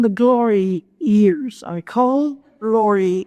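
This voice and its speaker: Speaking at a very slow pace, a woman uses lively intonation in a dark, mellow tone. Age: 80s+. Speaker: retired surgical nurse; motivational speaker. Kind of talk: speech to an audience. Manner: humorous, engaging.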